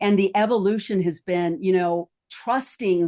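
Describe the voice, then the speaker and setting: Against a quiet background, a woman with an ordinary speaking voice speaks at a fairly slow pace, her medium pitch showing ordinary variation. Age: 50s. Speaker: psychologist and life coach podcast host. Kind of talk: round table podcast discussion. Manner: conversational with frequent fillers.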